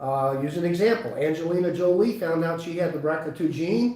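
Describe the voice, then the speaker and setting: A man with a high pitch talks at a moderate pace with ordinary pitch variation, amid noticeable background noise and audible room echo. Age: 60s. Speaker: chiropractor. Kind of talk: live webinar talk. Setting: live webinar.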